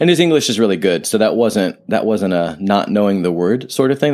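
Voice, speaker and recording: Over a very clean recording with a silent background, a man speaks at a fairly low pitch with lively intonation. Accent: American. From US Midwest, Ohio. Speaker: writer and travel podcaster. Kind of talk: solo travel monologue, casual reflection. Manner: conversational, with frequent repetitions and fillers.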